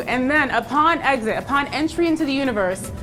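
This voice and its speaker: Over music in the background, a woman with an American accent speaks at a high pitch with lively intonation. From Southern California. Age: 20s. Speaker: TV co-host and multimedia journalist. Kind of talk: playful TV banter.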